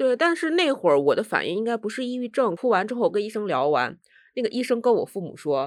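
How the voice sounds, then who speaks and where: Very fast speech is captured in a very clean recording against a silent background. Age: 30s. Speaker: podcast guest sharing experience of depression. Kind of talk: casual chat.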